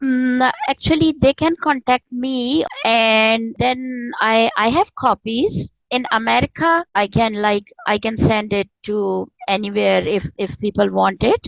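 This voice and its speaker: A woman's fairly high voice in a Pakistani accent, very slow yet with hardly any pauses, ordinary pitch variation, and a dry, close sound with no echo. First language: Urdu. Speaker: spiritual author and former professor. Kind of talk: interview conversation. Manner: halting.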